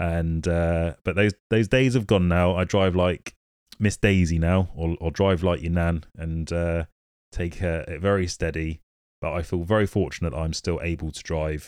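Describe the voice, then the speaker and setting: Recorded very cleanly against a silent background, a man with a British accent speaks at a moderate pace in a very deep, low pitch with fairly even intonation. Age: 30s. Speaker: podcast host living with motor neurone disease. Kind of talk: casual monologue.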